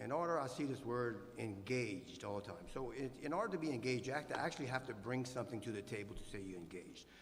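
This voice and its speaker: There is audible room echo as a man talks at a fairly quick pace. His medium pitch carries lively intonation. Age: 60s. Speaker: city council candidate, former mayor. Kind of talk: candidate forum answer.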